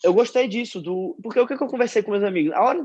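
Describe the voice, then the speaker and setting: A man talks with lively intonation. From Rio de Janeiro, Brazil. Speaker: football fan social media creator. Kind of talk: casual chat.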